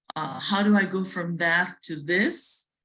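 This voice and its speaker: Using fairly even intonation, a woman with an Indian accent talks at a very slow pace. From South India. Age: 50s. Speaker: chef and restaurateur. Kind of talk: interview talk at virtual museum event. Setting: virtual event. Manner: hesitant, with fillers and repetitions.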